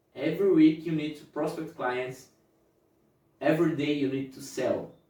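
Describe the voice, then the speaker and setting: A dark, mellow tone in a monotone, flat intonation, with big swings in loudness and audible room echo. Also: man, fairly high pitch for a man, moderate pace. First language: not English. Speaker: motivational youtuber. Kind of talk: motivational talk to camera. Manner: halting, self-correcting.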